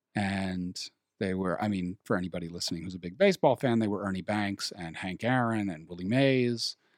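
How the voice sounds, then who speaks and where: A man with an American accent and a normal speaking voice talks at a fairly quick pace with hardly any pauses, a fairly low pitch and ordinary pitch variation, the sound dry and close with no echo. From New York City. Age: 30s. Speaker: comedian and actor. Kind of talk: casual chat.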